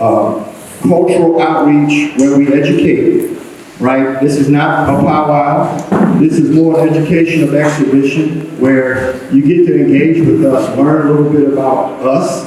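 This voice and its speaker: A man with a fairly high pitch and a Southern US accent talks at a fairly slow pace, with fairly even intonation and very even loudness, amid audible room echo and noticeable background noise. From Eastern North Carolina, US South. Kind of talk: public talk to an audience. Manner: hesitant, many fillers.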